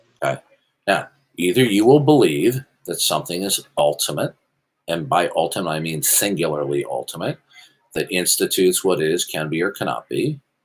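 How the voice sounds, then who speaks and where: The speaker is a man with a very deep, low pitch. His pitch swings very widely at a moderate pace. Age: 60s. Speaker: apologetics debater. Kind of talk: heated debate. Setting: voice chat server. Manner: formal.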